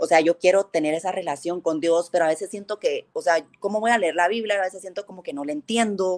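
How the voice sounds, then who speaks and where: In a dry, close recording with no echo, a woman at medium pitch speaks very fast with hardly any pauses. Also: ordinary pitch variation. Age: 30s. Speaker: guest, childhood friend of host. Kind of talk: casual chat, faith testimony. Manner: halting with many repetitions.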